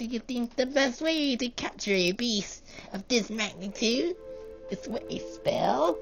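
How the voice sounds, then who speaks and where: A put-on character voice, fairly high in pitch, speaks at a fairly slow pace over clear background music. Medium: read story. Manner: smug, cunning, taunting.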